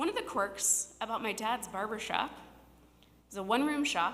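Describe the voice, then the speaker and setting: A woman with a Midwestern US accent, a bright, sharp tone and a moderate pace, with audible room echo. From Cincinnati, Ohio (west side). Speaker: storyteller. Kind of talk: personal storytelling on stage.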